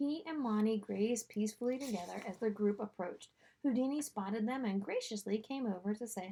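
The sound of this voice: An unforced voice reads with pitch that varies in an ordinary way.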